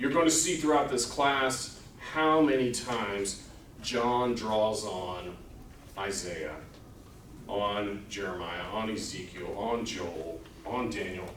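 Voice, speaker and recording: Speaking very slowly with long, frequent pauses, a man with a fairly low pitch uses lively intonation in a room with audible echo. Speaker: Bible class teacher. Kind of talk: lecture. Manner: loud.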